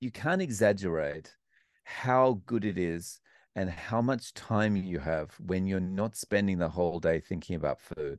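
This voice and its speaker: Against a quiet background, a man with an Australian accent talks at a fairly slow pace. His pitch is very deep and low, with ordinary variation. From Australia, Melbourne. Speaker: English teacher and YouTube interviewer. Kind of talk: interview conversation. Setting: remote call across time zones.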